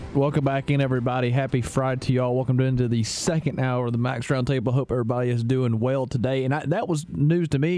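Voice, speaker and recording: Someone speaks at a fairly quick pace with fairly even intonation over noticeable background noise. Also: man. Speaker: co-host. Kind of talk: casual sports radio banter.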